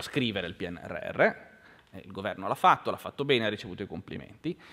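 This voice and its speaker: Man with a medium pitch, a bright, sharp tone and a very fast pace. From Genoa, Liguria. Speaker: think tank research director. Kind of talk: panel discussion. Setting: lecture hall with audience.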